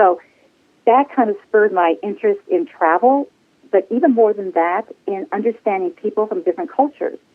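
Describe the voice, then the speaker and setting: Her voice sits at a medium pitch, and this woman's intonation is lively. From US military family, moved around incl. Spain. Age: 60s. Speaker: flight attendant. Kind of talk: interview. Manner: animated.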